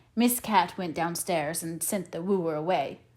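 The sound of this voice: A woman speaks at a fairly slow pace with a fairly low pitch, ordinary pitch variation and a slightly mellow tone.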